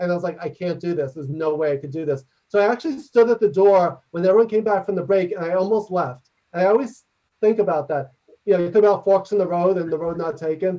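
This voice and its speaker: Loud and very fast, a man speaks in a New York accent. His pitch is high, with ordinary variation. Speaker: leadership consultant and author. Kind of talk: interactive workshop talk and Q&A.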